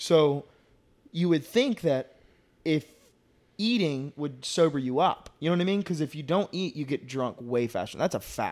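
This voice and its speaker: The voice is an unremarkable speaking voice, a man's, fairly high in pitch. He talks at a moderate pace with lively intonation. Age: 20s. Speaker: podcast co-host. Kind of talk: casual chat. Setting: studio.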